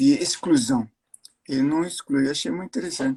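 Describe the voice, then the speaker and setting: Recorded dry and close with no echo, a man speaks at a high pitch with very wide pitch swings. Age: 70s. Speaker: cancer survivor, host's father. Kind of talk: casual interview. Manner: halting.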